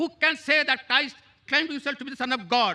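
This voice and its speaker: Raising and projecting his voice, a man talks at a very fast pace and an extremely high pitch. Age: 60s. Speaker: audience questioner, retired lecturer. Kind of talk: audience question.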